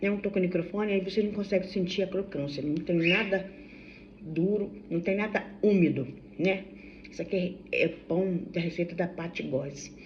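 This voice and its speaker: Fairly even intonation from a woman with a somewhat breathy voice. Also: medium pitch for a woman, moderate pace. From Brazil, Vassouras, Rio de Janeiro state. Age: 60s. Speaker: vlogger. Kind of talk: casual vlog chat. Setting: at home during breakfast. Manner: chatty, halting with self-corrections. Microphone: no microphone, phone recording.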